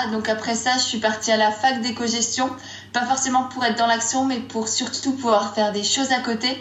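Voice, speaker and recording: With noticeable background noise and audible room echo, a woman speaks at a moderate pace in a fairly high pitch and a monotone, flat intonation. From Strasbourg, Alsace, France. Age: young. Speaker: blogger. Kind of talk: casual interview.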